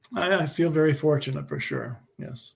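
At a moderate pace, a man with a fairly high pitch and fairly even intonation shows vocal fry and a slightly husky edge.

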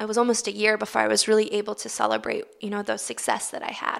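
A woman with a Baltimore accent talks at a fairly quick pace. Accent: American, Baltimore. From US, Baltimore. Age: 20s. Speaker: Paralympic swimmer. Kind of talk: interview.

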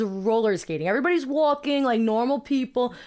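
A woman talks at a fairly high pitch with ordinary pitch variation. The recording is very clean, with a silent background. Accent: Brooklyn. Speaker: podcast host. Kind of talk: casual chat.

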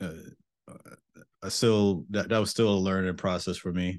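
A man with a very deep, low pitch and a New York accent, flat monotone intonation, over a quiet background. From Mount Vernon, New York. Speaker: cybersecurity engineer, Air Force veteran. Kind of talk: interview.

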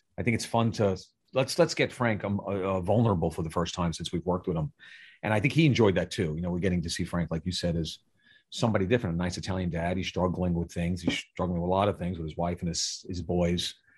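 In a New York accent, a man talks at a very fast pace with a very deep, low pitch. His voice is somewhat breathy with ordinary pitch variation, over a quiet background. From Staten Island, New York. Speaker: film director and writer. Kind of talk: casual interview chat.

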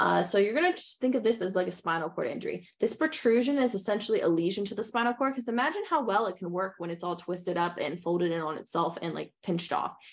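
A woman at a medium pitch talks very fast with hardly any pauses. Her intonation is lively, with vocal fry. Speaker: physical therapy exam prep host. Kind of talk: educational podcast lecture. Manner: casual, filler-heavy.

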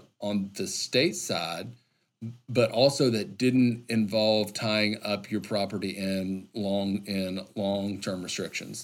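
Speaking in an Arkansas accent, a man with a fairly low pitch keeps his intonation fairly even at a fairly slow pace. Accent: Southern US (Arkansas). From Arkansas, central (Lonoke County). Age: 30s. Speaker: state wildlife agency director. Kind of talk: interview conversation. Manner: articulate.

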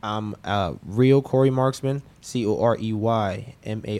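A man speaks in a plain, everyday voice, fairly low in pitch, with fairly even intonation. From Orlando, Florida. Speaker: professional boxer. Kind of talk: interview. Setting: studio.

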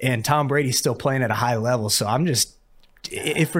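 A man with an ordinary speaking voice talks fairly quickly at medium pitch with ordinary pitch variation. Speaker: podcast co-host. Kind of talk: casual chat.

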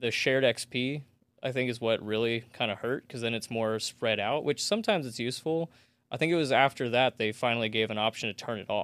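Recorded very cleanly with a silent background and a dry, close sound with no echo, a man speaks in an ordinary speaking voice at medium pitch, with ordinary pitch variation and a fairly quick pace. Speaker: comedian. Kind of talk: casual chat.

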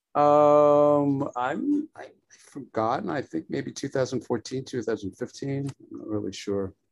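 A very slow delivery in a New York accent, with big swings in loudness. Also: man, fairly high pitch for a man, ordinary pitch variation. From New York, Brooklyn. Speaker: photographer and painter. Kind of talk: casual interview.

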